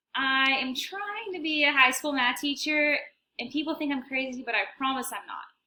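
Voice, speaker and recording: A woman's high, bright, sharp voice with an American accent, raised and projected, lively in intonation and at a fairly quick pace. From Texas (Allen, Llano). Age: 20s. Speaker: university student. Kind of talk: self-introduction video.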